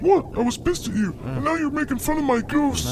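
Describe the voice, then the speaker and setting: Using a put-on character voice, a man speaks at an extremely high pitch and a fairly quick pace over clear background noise. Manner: petulant, defensive.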